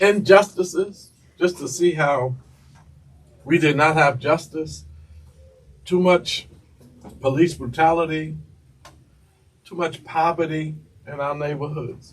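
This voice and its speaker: Pausing long and often, a man with a New York accent speaks at a fairly high pitch with fairly even intonation and big swings in loudness. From New York City, Lower East Side of Manhattan. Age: 70s. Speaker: city councilman. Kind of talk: interview. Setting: school studio.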